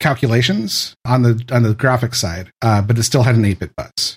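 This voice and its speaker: A man speaks at a medium pitch, his voice somewhat breathy. His intonation stays fairly even. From US West Coast, San Francisco Bay Area. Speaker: former game tech support worker. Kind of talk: casual chat.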